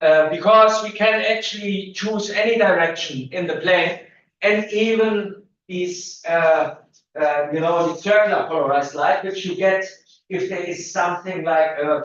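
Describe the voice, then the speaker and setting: Audible room echo around a man's high-pitched voice, with ordinary pitch variation and a fairly slow pace. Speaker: physics lecturer. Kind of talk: lecture. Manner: loud.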